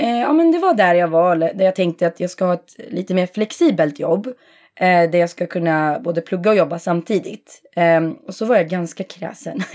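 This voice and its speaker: In a very clean recording with a silent background, a woman with an ordinary speaking voice talks at a moderate pace, medium in pitch, with ordinary pitch variation. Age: 30s. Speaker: optician. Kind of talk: interview.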